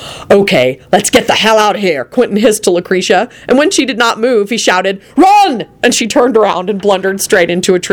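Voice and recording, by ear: Someone reads the words aloud in a natural voice.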